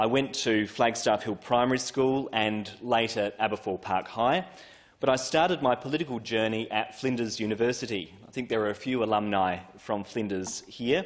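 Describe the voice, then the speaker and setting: A man with an Australian accent, medium pitch, ordinary pitch variation and a moderate pace. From Australia, Adelaide southern suburbs. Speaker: politician. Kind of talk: parliamentary first speech. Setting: parliament chamber. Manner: formal.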